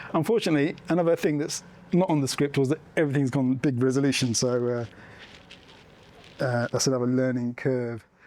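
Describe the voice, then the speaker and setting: Fairly quick speech from a man with an English accent, medium pitch, ordinary pitch variation, very even loudness and long, frequent pauses. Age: middle-aged. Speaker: documentary filmmaker and sanctuary owner. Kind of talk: public talk to an audience. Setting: room with live audience. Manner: soft-spoken; halting, many fillers.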